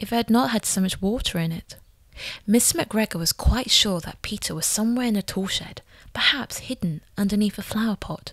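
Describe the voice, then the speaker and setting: The speaker sounds somewhat breathy and talks at a fairly quick pace with ordinary pitch variation. The recording is very clean, with a silent background. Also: woman. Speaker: voice actor. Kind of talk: storybook reading. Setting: home recording demo.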